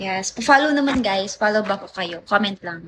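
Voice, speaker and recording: A woman speaks at a fairly slow pace in a medium-pitched, animated voice with ordinary pitch variation. Noticeable background noise runs under the recording. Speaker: livestreamer. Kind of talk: live stream chat with viewers. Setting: at someone else's house. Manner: soft-spoken, low volume.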